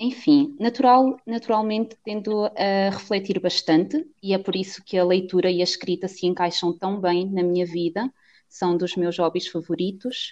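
Against a quiet background, a woman at medium pitch speaks at a moderate pace with ordinary pitch variation and hardly any pauses. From Portugal, Cantanhede (Coimbra district). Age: 20s. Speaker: podcast co-host. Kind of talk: casual chat. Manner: halting.

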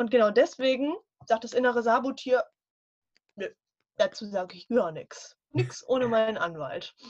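The speaker uses lively intonation at a moderate pace. Long, frequent pauses break up the speech. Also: woman, high pitch for a woman. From northern Germany. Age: 20s. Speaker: life coach. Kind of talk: casual interview chat.

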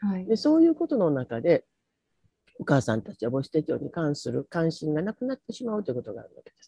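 Talking at a very fast pace, a woman with a fairly low pitch and a dark, mellow tone makes very wide pitch swings and big swings in loudness, in a dry, close sound with no echo. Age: 70s. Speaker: retired teacher and maternal health NGO organizer. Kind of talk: online talk with slides.

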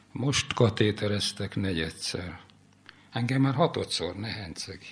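This man's somewhat breathy, fairly low voice moves with lively intonation at a very slow pace. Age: 80s+. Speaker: poet. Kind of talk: reading aloud.

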